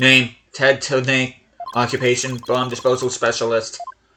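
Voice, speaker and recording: A man uses a put-on, robotic character voice at medium pitch. He speaks at a moderate pace. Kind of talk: flat, mechanical delivery.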